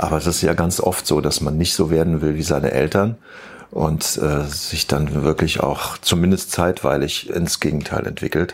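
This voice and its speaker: A man speaks at a moderate pace in a very deep, low voice with fairly even intonation. Noticeable background noise is present. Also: very even loudness. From Germany, Eifel region (near Neuerburg). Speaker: rock musician. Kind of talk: interview.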